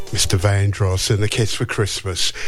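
This man talks fairly slowly. Noticeable noise can be heard behind him. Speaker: radio host. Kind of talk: radio DJ patter on a breakfast show. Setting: studio. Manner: chatty, relaxed and upbeat, rambling off on tangents.

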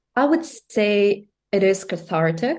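A woman speaks in a Russian accent. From Russia, Moscow. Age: 30s. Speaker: singer-songwriter and music student. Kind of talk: interview.

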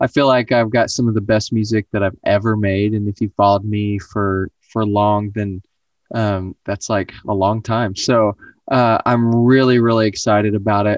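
Fairly low in pitch, a man speaks at a moderate pace in a monotone, flat way. The sound is dry and close with no echo, over a quiet background. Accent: American. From Oklahoma, US. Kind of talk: casual interview.

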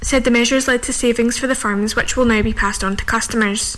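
A woman speaks at a fairly high pitch and a fairly quick pace. Noticeable background noise runs behind her. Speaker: radio newsreader. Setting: studio. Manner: formal; fast-paced and even, with brisk newsreader delivery.

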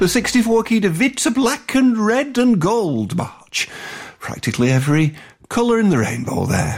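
A man with a northern English accent speaks in a high voice at a moderate pace, his pitch swinging very widely while his loudness stays very even, over noticeable background noise. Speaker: radio host. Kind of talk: radio music show presenting. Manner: hesitant with fillers.

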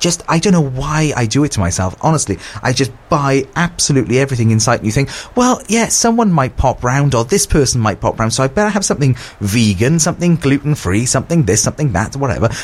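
A somewhat breathy man talks at a very fast pace with very wide pitch swings and very even loudness. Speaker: radio host. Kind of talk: radio dj patter. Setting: radio studio. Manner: chatty, informal, rambling, self-deprecating.

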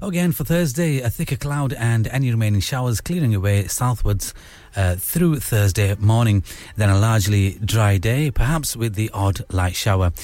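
A man's normal speaking voice at medium pitch and moderate pace, with lively intonation. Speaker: radio host. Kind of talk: radio DJ patter, late-night show host chatting. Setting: studio. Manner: warm, chatty, relaxed, casual, with Urdu/Hindi phrases mixed in and friendly sign-offs.

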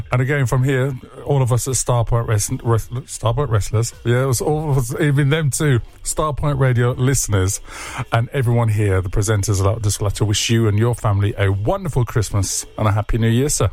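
Against noticeable background noise, a man talks at a fairly quick pace with very even loudness and ordinary pitch variation. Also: medium pitch for a man. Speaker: radio host. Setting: studio. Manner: upbeat, chatty and laughing, playful and full of quips.

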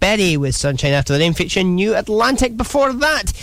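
Against noticeable background noise, a man with a Scottish accent talks fairly quickly, his pitch swinging very widely. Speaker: radio DJ. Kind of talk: music radio presenting. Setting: radio studio. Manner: breezy.

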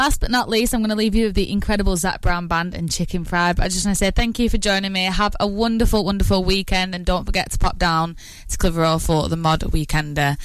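A woman talks at a very fast pace with hardly any pauses. Her pitch sits in the middle range. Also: ordinary pitch variation. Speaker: radio presenter. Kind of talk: radio DJ patter, chatty and sunny, with friendly local asides. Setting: radio studio. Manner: warm, upbeat, enthusiastic, gushing about songs.

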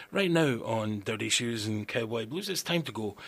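Speaking at a moderate pace, a man with a plain, everyday voice of medium pitch uses lively intonation. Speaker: radio host. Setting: studio. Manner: relaxed, chatty, wry and laid-back, laughs at own jokes.

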